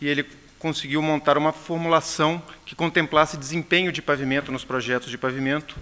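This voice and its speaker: A man with a Brazilian accent speaks in a fairly high pitch with a bright, sharp tone. His intonation is monotone and flat, though his loudness swings widely. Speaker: pavement engineer. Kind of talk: conference presentation. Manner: hesitant, many fillers.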